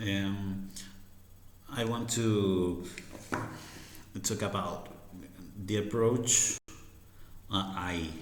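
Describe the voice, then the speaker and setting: With an Argentine accent, a man talks at a very slow pace with long, frequent pauses, using fairly even intonation at a fairly low pitch, and audible room echo surrounds him. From Argentina. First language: Spanish. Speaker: harmonica teacher. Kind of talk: tutorial. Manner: halting, many fillers.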